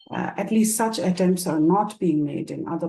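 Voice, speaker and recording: Speaking at a moderate pace in a Bengali accent, a woman has a fairly low pitch and a dark, mellow tone. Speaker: moderator and professor. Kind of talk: panel moderation introduction. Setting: online discussion. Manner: hesitant, many fillers.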